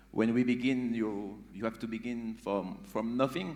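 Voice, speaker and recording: A man speaks with a French accent at a fairly slow pace. His intonation stays fairly even, and there is audible room echo. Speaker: beatbox group member. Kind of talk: onstage interview. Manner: halting.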